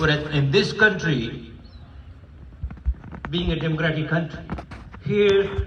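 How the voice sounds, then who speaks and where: A man at a moderate pace with ordinary pitch variation, amid audible room echo and noticeable background noise. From Nepal. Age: 70s. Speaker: psychiatrist and community elder. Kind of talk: speech at a community meeting. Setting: hotel event with audience.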